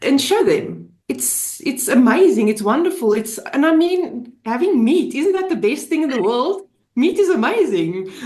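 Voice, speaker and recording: A woman's high voice with very wide pitch swings, a fairly slow pace and hardly any pauses, in audible room echo. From Namibia. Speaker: diet group member sharing experience. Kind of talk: testimony. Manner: halting.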